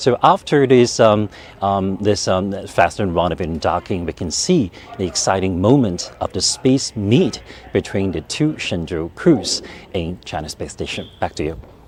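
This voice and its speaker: Over noticeable background noise, a man at a fairly low pitch speaks at a moderate pace with lively intonation. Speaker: TV reporter. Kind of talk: live reporting. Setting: mission control center. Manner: halting; soft-spoken.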